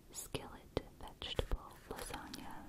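The voice is soft-spoken, delivered in a whisper. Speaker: ASMR creator. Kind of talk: whispered ASMR reading. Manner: close, soft ASMR whisper reading recipes.

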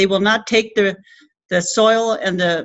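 Over a quiet background, a woman talks with a Labrador accent and fairly even intonation. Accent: Labrador Canadian English. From Rigolet, Labrador, Canada. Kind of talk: speech to an audience. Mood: earnest, indignant. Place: meeting room. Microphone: webcam.

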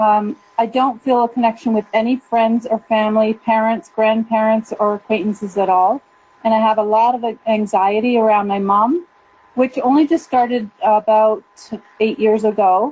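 This woman has an ordinary speaking voice, pitched fairly high, with very even loudness. Her intonation is fairly even and her pace moderate. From Calgary, Alberta, Canada. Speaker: caller. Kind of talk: call-in question.

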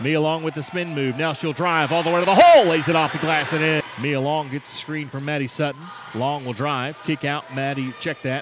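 Noticeable background noise sits under the voice. The tone is excited. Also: man. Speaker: basketball play-by-play announcer. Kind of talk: live sports commentary, play-by-play of a women's college basketball game. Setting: broadcast of a game, edited highlights. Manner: rapid-fire, clipped play-by-play delivery, excited on threes and steals.

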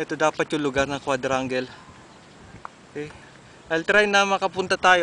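A man at a moderate pace with a bright, sharp tone, a dry sound with no echo, and light background noise. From Philippines. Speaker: alumnus giving video tour of old school. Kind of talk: walking video tour narration. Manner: halting, with many fillers. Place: open country. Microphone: phone near.

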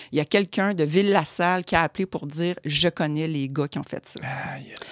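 A woman's fairly low voice sounds dry, with no echo, against a quiet background. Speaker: columnist; guest. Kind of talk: casual chat. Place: studio. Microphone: studio mic.

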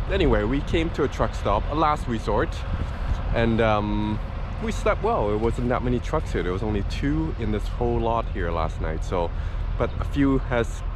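The voice moves at a moderate pace in a dry sound with no echo. Noticeable background noise runs underneath. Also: man. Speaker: travel vlogger. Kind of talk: casual vlog chat. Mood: relaxed, cheerful. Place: street. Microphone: phone near.

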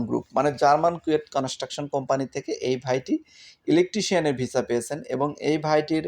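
Recorded dry and close with no echo against a silent background, a man with a fairly high pitch speaks in an unremarkable speaking voice. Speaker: YouTube news vlogger on Kuwait visas. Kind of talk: informal vlog news update.

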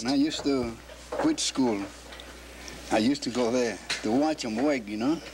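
With an American accent, the speaker goes at a moderate pace with ordinary pitch variation and long, frequent pauses, over noticeable background noise. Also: man, medium pitch for a man. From Key West, Florida. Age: 80s+. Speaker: cigar maker. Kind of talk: interview answer. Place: workshop.

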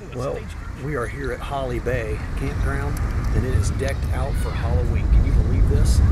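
Loud background noise fills the recording. Over it, the speech proceeds at a moderate pace. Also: man. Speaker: trail runner vlogger. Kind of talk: casual vlog chat.

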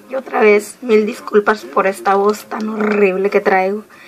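A medium-pitched female voice, moderately paced, against noticeable background noise. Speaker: nail art vlogger. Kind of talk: casual vlog unboxing.

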